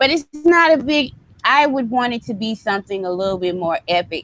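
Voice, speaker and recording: In a Southern US accent, a woman talks at a fairly quick pace. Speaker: wrestling podcast co-host. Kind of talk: casual chat.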